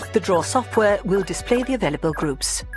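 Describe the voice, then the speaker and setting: Someone speaks at a moderate pace with a British accent. Music plays in the background. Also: woman. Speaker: voice actor. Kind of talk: informative sports explainer narration.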